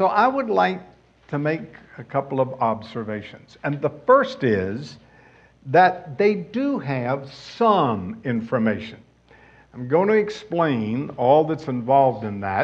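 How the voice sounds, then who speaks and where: Speaking at a very slow pace in a fairly high voice, a man swings his pitch very widely amid audible room echo. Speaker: Bible teacher. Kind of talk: sermon.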